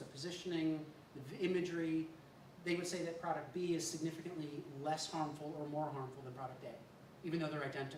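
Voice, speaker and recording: Speech comes at a fairly quick pace. Noticeable background noise runs underneath. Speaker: industry consultant on a panel. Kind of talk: panel discussion. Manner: halting, many repeated words.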